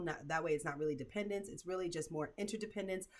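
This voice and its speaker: A woman speaks with a fairly low pitch. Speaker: self-help video host. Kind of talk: casual commentary to camera. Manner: fast; animated.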